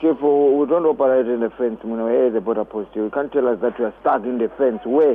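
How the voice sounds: At a fairly quick pace, a man speaks at a medium pitch with ordinary pitch variation.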